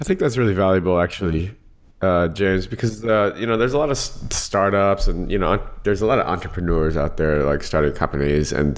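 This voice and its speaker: Very deep and low, a man's voice carries lively intonation at a fairly quick pace. His loudness stays very even. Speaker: podcast host. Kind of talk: interview.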